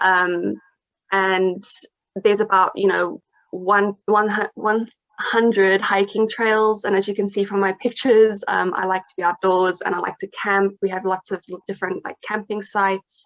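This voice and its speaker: A woman with monotone, flat intonation and big swings in loudness. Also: medium pitch for a woman, moderate pace. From South Africa. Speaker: English teacher abroad. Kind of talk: interview. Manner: hesitant, many fillers.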